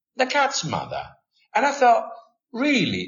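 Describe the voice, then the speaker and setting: With an Italian accent, a man talks at a moderate pace. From Italy. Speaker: language teaching expert. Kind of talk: podcast interview. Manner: animated.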